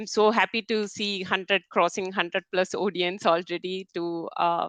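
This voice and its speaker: In a Keralan accent, a woman speaks at medium pitch and a moderate pace with ordinary pitch variation. The sound is dry and close with no echo, over a quiet background. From India (Kerala, Malayalam speaker). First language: Malayalam. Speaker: technical program manager, conference speaker. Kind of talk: webinar presentation. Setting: online webinar, screen sharing.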